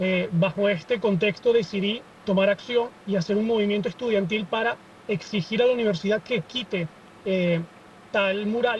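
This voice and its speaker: Noticeable background noise sits behind the speech. The pace is moderate and the intonation fairly even. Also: man, high pitch for a man. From Venezuela. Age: 20s. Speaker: student activist. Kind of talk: podcast interview.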